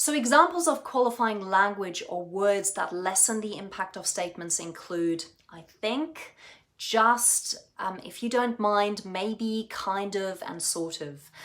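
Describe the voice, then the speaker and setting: A woman with a German accent at a medium pitch, fairly slow in pace, with lively intonation and big swings in loudness. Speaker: communication coach. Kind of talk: tutorial.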